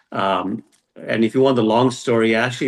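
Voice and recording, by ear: A man's fairly low-pitched voice with fairly even intonation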